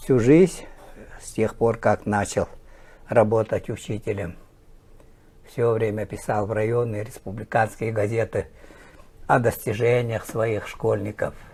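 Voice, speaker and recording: Somewhat breathy, a man talks at a very slow pace with long, frequent pauses. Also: medium pitch for a man, ordinary pitch variation. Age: 60s. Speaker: teacher and sports journalist. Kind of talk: interview.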